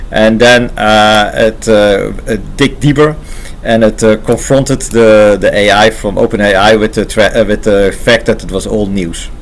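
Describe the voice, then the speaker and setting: Over noticeable background noise, a man speaks fairly slowly in a Dutch accent. His fairly low voice holds a fairly even intonation. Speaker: AI engineer and channel host. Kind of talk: casual unscripted talk to camera. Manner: halting, many filler pauses.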